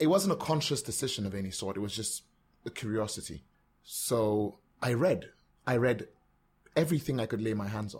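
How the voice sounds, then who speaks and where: Speaking at a fairly quick pace yet with long, frequent pauses, a man with an American accent uses lively intonation at a medium pitch, his voice somewhat breathy. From Nigeria. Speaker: podcaster and former radio presenter. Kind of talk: casual interview.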